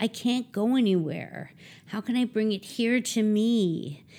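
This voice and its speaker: A woman talks in a Philadelphia accent at a medium pitch and a fairly slow pace. Her pitch varies in an ordinary way, and the recording is very clean with a silent background. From Philadelphia area, US. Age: 50s. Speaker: klezmer trumpet player. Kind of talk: casual interview chat.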